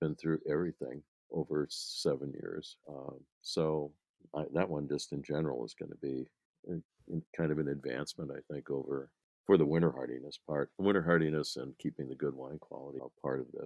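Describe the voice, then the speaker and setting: With vocal fry and a very deep, low pitch, a man speaks at a fairly quick pace, his loudness swinging widely while his intonation stays fairly even. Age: 70s. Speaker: grape breeder. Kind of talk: interview. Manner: halting, many fillers.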